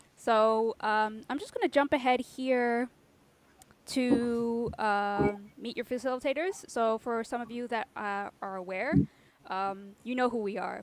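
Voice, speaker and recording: A woman's high-pitched voice at a fairly slow pace, with a dry, close sound and no echo. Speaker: design community co-founder and workshop facilitator. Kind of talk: online workshop introduction.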